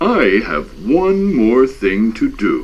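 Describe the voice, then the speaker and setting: A man adopts a put-on character voice pitched high. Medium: read story.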